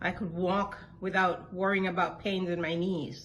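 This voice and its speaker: Audible room echo is present. The woman's pitch is medium. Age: 60s. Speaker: product testimonial giver. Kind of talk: testimony.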